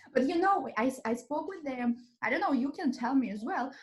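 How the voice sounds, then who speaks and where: Lively intonation with a slight Russian accent. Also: woman. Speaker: podcast host, English teacher. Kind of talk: casual chat.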